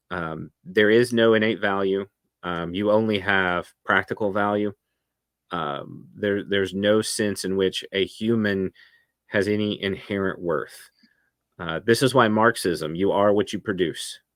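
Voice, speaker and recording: A man with a Tennessee accent talks fairly slowly at a fairly low pitch with fairly even intonation, on a very clean recording with a silent background. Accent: Southern American (Tennessee). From US South, Memphis, Tennessee. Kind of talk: podcast interview.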